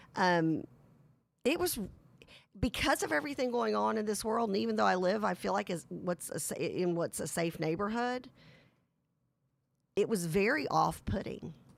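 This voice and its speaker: A raspy, put-on character voice from a woman, medium in pitch, moderate in pace, with long, frequent pauses. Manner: very serious.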